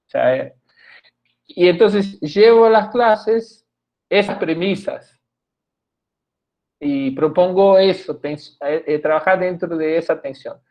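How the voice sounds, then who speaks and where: Against a quiet background, a man with a Portuguese accent speaks at a very slow pace with long, frequent pauses, in a high pitch with ordinary pitch variation. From Brazil. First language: Portuguese (speaking Spanish). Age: 60s. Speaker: theatre professor and researcher. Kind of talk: talk at a public discussion event. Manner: halting, many restarts and fillers.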